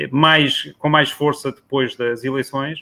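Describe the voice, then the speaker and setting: The speaker is a man whose pitch sits fairly high. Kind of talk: casual chat.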